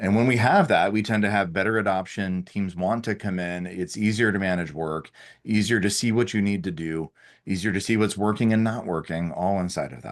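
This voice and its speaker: A man speaks at a fairly quick pace and a fairly low pitch, with ordinary pitch variation. The background is quiet. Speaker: head of sales, webinar co-host. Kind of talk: webinar presentation. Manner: fast.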